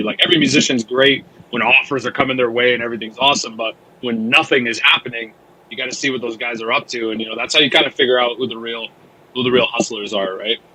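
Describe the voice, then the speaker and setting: A man's very fast, monotone, flat speech over noticeable background noise. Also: medium pitch for a man. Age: 20s. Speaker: metal band musician. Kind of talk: casual interview chat.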